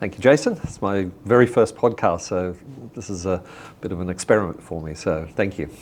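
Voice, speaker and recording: In an Australian accent, a man with a very deep, low pitch speaks at a fairly quick pace. His pitch varies an ordinary amount, while his loudness swings widely. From Australia, rural northern New South Wales. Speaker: business figure. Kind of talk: interview.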